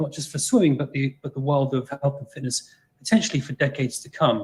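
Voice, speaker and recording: Speaking with an English accent, a man has a fairly high, somewhat breathy voice. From England. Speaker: exercise scientist. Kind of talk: lecture. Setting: video call.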